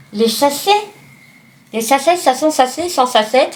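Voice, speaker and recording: A woman talks fairly slowly while noticeable background noise carries on. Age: 40s. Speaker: vlogger. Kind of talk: casual vlog chat. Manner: animated; unfinished sentences.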